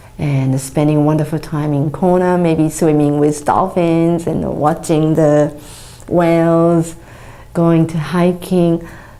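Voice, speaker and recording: This woman's pitch is very deep and low. She speaks at a fairly slow pace. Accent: Japanese. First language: Japanese. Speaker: charity founder. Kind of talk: appeal for support. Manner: halting.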